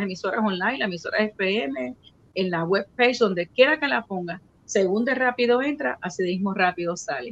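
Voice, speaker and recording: A medium-pitched woman with a Puerto Rican accent speaks at a moderate pace with lively intonation. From Puerto Rico (Río Piedras). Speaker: radio station owner and host. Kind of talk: casual interview.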